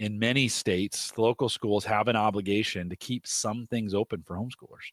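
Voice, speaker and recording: In a very clean recording with a silent background and a dry, close sound with no echo, a man with a normal speaking voice talks at a moderate pace with ordinary pitch variation. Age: 40s. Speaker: tech podcaster and career guest. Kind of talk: casual interview.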